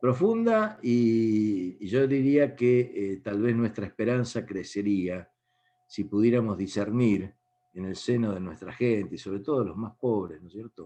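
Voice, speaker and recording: With a dark, mellow tone, a man speaks fairly slowly and with ordinary pitch variation against a quiet background. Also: medium pitch for a man. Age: 70s. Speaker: speaker on faith and politics. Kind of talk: talk to an online meeting.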